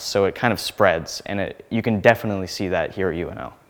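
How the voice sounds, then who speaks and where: Speaking at a very fast pace with a Midwestern American accent, a man with a fairly low pitch keeps fairly even intonation in a very clean recording with a silent background. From Nebraska, small town. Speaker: graduate planning student. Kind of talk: interview. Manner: casual, with frequent fillers.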